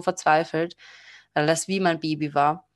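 Delivery comes at a moderate pace in a flat monotone. The background is quiet. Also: woman. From Austria. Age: 20s. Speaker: tarot card reader and psychology student. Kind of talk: interview. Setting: video call.

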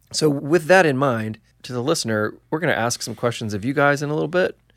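Using an ordinary speaking voice, a man talks fairly quickly with lively intonation. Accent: American. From Illinois, US. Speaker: podcast host, A&R man. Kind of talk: interview conversation. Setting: studio.

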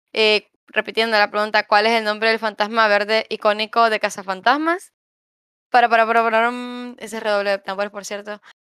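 On a very clean recording with a silent background and a dry, close sound with no echo, a woman speaks at a moderate pace in a fairly high, bright, sharp voice with monotone, flat intonation. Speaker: podcast co-host. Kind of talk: casual chat.

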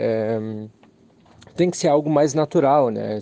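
Dark and mellow is the tone of this man's voice. His pitch moves in an ordinary way. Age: 20s. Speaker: listener giving testimony. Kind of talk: recorded voice message testimony. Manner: halting, many fillers.

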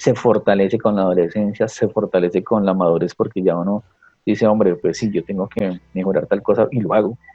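Fairly quick and fairly low in pitch, a man talks in an unremarkable speaking voice with fairly even intonation. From Colombia, Tequendama province (Cundinamarca). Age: 40s. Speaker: teacher. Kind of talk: casual interview conversation.

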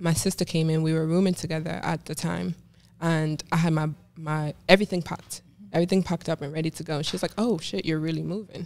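Very fast and fairly even in intonation, a woman speaks with a very deep, low pitch. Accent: Jamaican. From Jamaica. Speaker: fashion model. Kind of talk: casual interview. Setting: studio.

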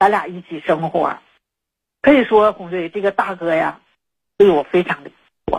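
Pausing long and often, a woman speaks at a moderate pace in a medium pitch with ordinary pitch variation. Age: 50s. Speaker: caller, domestic worker. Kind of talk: personal confession on call-in show. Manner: halting, many fillers.

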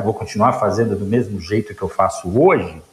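At a moderate pace, a man keeps talking while noticeable background noise fills the recording. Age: 50s. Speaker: logistics executive. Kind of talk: interview. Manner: halting, many fillers.

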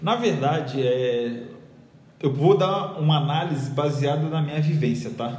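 Through noticeable background noise and audible room echo comes a voice in a Rio de Janeiro accent with ordinary pitch variation and long, frequent pauses. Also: man. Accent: carioca. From Rio de Janeiro, Brazil. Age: 30s. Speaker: graphic designer. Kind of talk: casual interview.

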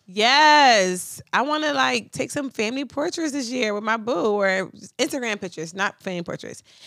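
A woman talks at a moderate pace with a bright, sharp tone. Her pitch swings very widely. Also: fairly high pitch for a woman. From North Philadelphia. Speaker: podcast co-host. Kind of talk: casual chat. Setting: remote call from laptop.

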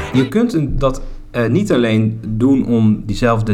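Through audible room echo and noticeable background noise, a man speaks with a southern Dutch accent. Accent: soft G, southern Dutch. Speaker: podcast host. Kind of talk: casual chat. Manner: drops word endings.

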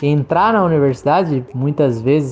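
Moderate pace over noticeable background noise. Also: man. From Greater São Paulo. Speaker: geography teacher. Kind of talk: podcast interview. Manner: halting, repeats words.

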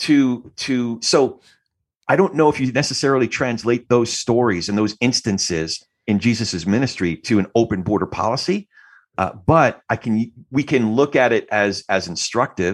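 An unremarkable speaking voice from a man with an American accent, medium in pitch, moderate in pace, lively in intonation, over a quiet background. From New Jersey. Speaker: podcast host, theology student. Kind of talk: casual interview conversation. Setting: video call.

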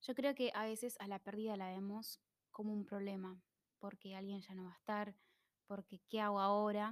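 A woman with an Argentine accent speaks at a moderate pace in a monotone, flat intonation, her sound dry and close with no echo. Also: medium pitch for a woman. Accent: Rioplatense Argentine Spanish. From Argentina, Buenos Aires suburbs. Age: 20s. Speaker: podcast host. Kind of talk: casual solo monologue.

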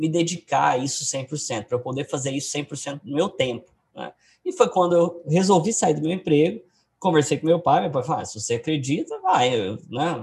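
At a moderate pace, a man's fairly high, somewhat breathy voice moves with lively intonation. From Goiás, Brazil (Goiânia). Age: 20s. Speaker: day trader and trading educator. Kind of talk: interview. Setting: video call.

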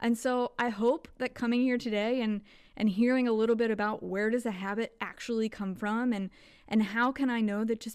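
Here a woman with an American accent uses an ordinary speaking voice at a fairly high pitch, her intonation fairly even. The recording is very clean with a silent background. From Kentucky, US South. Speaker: podcast host. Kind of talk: solo reflective monologue.

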